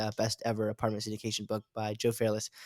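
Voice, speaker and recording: A man with an American accent at a very fast pace, on a very clean recording with a silent background. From US South, North Carolina. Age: 20s. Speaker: real estate investor. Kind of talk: casual chat.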